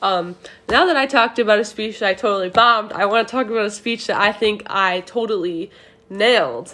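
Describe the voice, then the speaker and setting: A fairly high female voice, bright and sharp, with ordinary pitch variation and a fairly quick pace. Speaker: student. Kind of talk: class assignment monologue. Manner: fast.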